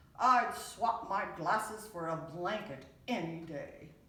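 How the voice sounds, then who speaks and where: A woman puts on a character voice at medium pitch, raised and projected, at a fairly slow pace with slight echo. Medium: read story.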